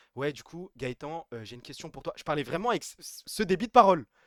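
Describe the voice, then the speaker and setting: Very fast and animated, a man speaks in a bright, sharp tone with very wide pitch swings, the sound dry and close with no echo. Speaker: streamer. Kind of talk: casual live stream chat. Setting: live stream.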